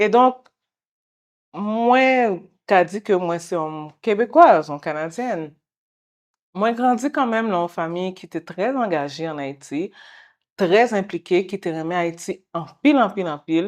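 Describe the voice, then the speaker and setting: Over a quiet background, a woman with a medium pitch and lively intonation speaks at a fairly slow pace, taking long, frequent pauses. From Quebec, Montreal. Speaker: guest interviewee. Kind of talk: interview. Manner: halting.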